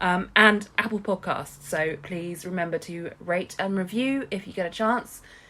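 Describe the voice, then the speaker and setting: A woman with an English accent, fairly slow pace and fairly even intonation. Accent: English, stated by co-host. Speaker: podcast co-host. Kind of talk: podcast outro with contact details; casual chat.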